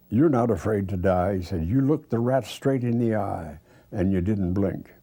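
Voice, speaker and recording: The tone is dark and mellow, with a somewhat breathy quality. Pitch moves in an ordinary way. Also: man. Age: 90s. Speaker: retired craftsman preparing own funeral. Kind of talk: documentary interview. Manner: halting.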